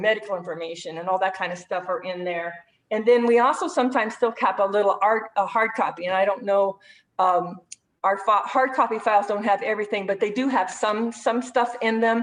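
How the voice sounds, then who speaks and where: A woman talks at a fairly quick pace, her medium pitch showing ordinary variation. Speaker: rehabilitation program staff. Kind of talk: webinar presentation. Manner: fast.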